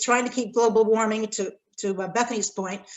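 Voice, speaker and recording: At a fairly quick pace, a woman with an American accent speaks in an unremarkable speaking voice. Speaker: respondent to a lecture, corporate responsibility academic. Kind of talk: academic response talk.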